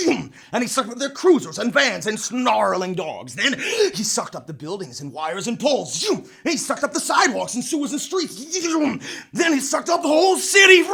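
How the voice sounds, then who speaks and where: A man's raised, projected voice at an extremely high pitch, with very wide pitch swings, a fairly quick pace and noticeable background noise. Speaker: storyteller. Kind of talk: tall tale narration.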